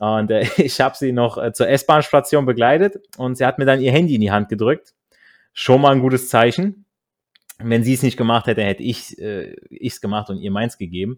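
A man speaks at a medium pitch and a moderate pace, with ordinary pitch variation. His is an unremarkable speaking voice, on a very clean recording with a silent background. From Germany, northern Hesse. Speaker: podcast host. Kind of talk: casual chat.

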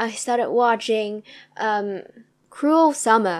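Her pace is moderate and her pitch varies in an ordinary way. The woman's recording is very clean, with a silent background. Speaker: solo podcast host reviewing TV dramas. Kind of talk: casual solo monologue. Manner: rambling, laughs often.

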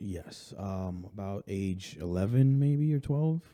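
Slow and dark, mellow in tone, a man with an American accent talks at a fairly low pitch with lively intonation.

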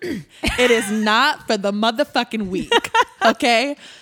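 Lively intonation and a fairly slow pace mark this speech, heard over noticeable background noise. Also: woman. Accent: American. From Indiana, US Midwest. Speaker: pop singer. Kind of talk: interview. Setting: live podcast studio.

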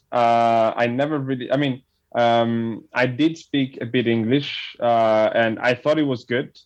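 A man talks at a fairly slow pace with a Neapolitan accent. His medium pitch carries fairly even intonation and very even loudness. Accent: Italian (Neapolitan) accent in English. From Italy, Campania (near Naples). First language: Italian. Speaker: immigrant sharing his story. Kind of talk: interview. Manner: halting.

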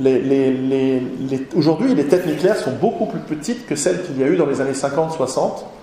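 The speaker talks at a fairly slow pace. Audible room echo and noticeable background noise fill the recording. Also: man. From Switzerland. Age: 40s. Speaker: author and lecturer. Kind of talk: lecture. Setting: conference hall with audience. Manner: halting, many repetitions.

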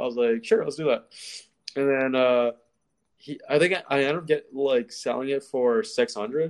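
A man in a normal speaking voice, fairly high-pitched, at a moderate pace with ordinary pitch variation. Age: 20s. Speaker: videographer. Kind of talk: casual chat.

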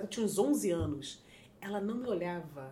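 Female speech with noticeable background noise. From Rio de Janeiro, Zona Norte suburbs. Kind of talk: casual interview, storytelling.

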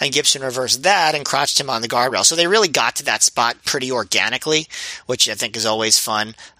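A man speaks in an unremarkable speaking voice at medium pitch with ordinary pitch variation. His pace is fairly quick, and the sound is dry and close with no echo. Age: 30s. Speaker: wrestling podcast co-host. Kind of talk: casual chat.

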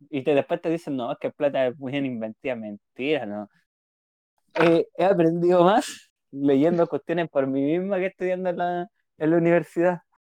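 A man's fairly high voice with a Chilean accent, at a moderate pace and with ordinary pitch variation, in a dry, close recording with no echo and a quiet background. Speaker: podcast co-host, psychologist. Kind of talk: casual chat.

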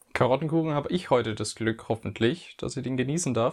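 A man speaks in an unremarkable speaking voice at a moderate pace. His pitch varies in an ordinary way against a quiet background. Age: 20s. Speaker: podcast co-host, physiotherapy student. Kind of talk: casual chat.

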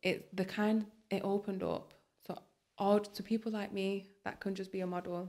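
A woman with a Lancashire accent speaks at a moderate pace in a dark, mellow tone with monotone, flat intonation. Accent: Bolton. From Bolton, northern England. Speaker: curve model. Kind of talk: podcast interview.

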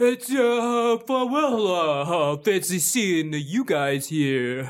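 A man uses a put-on character voice with high pitch and very wide pitch swings. He speaks at a very slow pace. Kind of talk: casual, slangy.

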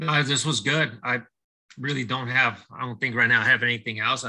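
A man talks at a fairly quick pace with fairly even intonation. His tone is bright and sharp. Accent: American. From Southern California. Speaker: baseball coach. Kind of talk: casual interview testimony. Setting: video call.

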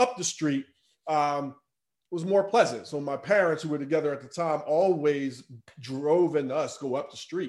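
Using a plain, everyday voice, a man talks at a moderate pace and fairly high pitch with ordinary pitch variation. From US Northeast, inner-city Philadelphia. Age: 40s. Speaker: life coach and speaker. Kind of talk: interview conversation. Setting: remote call.

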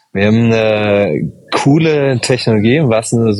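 A man talks while background noise remains clearly noticeable. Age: 30s. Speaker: startup founder and engineer. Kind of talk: interview.

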